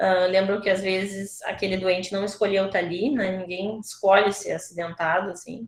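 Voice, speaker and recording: A woman's medium-pitched voice at a moderate pace, an unremarkable speaking voice. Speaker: surgeon lecturer. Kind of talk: online lecture.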